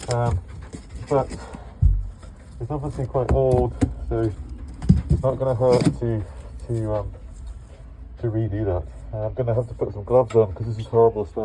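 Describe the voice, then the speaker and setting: A man talks over noticeable background noise. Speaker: boat owner doing DIY refit. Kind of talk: tutorial. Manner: hesitant, many fillers.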